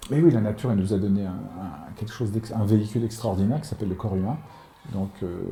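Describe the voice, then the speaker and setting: A man talks at a fairly quick pace. His voice has a fairly low pitch. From France, Paris and Normandy. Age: 60s. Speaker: author. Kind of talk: interview. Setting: at home. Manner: halting, many repetitions.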